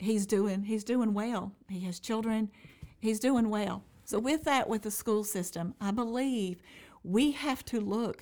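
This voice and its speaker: With an American accent, a woman speaks at a fairly slow pace in an ordinary speaking voice. Her pitch is fairly high, with ordinary variation. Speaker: mayoral candidate. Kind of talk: casual interview.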